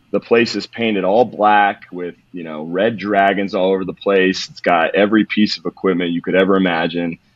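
Over a moderate pace with hardly any pauses, a man with an American accent and a very deep, low pitch speaks in a flat monotone while his loudness swings widely. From California, Modesto. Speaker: strength and conditioning coach. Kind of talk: casual interview.

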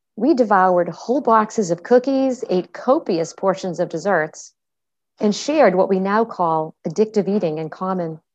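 Speaking in a plain, everyday voice, a woman keeps a moderate pace at a medium pitch with ordinary pitch variation and a quiet background. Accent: American. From Massachusetts, Boston area (Medford). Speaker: functional medicine practitioner and podcast host. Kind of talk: scripted narration.

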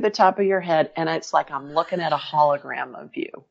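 A woman with an American accent talks at a fairly quick pace. She has a plain, everyday voice with ordinary pitch variation. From Ohio. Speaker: medical intuitive and author. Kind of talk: interview. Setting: remote call.

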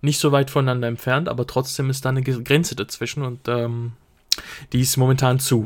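At a fairly quick pace, a man speaks in a monotone, flat delivery on a very clean recording with a silent background. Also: medium pitch for a man. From Switzerland. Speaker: podcast co-host, student. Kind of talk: casual chat. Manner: halting, many fillers.

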